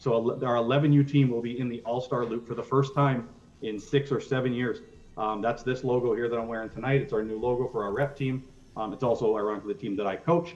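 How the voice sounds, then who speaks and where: A man's medium-pitched voice at a very fast pace, with fairly even intonation. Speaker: youth baseball coach and organization representative. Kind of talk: presentation to council. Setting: council meeting.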